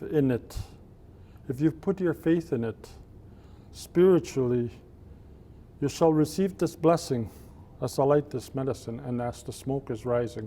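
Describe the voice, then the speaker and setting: A man's fairly high voice, dark and mellow in tone, at a fairly slow pace. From Cree reserve, Alberta, Canada. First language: Cree. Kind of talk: blessing and invocation.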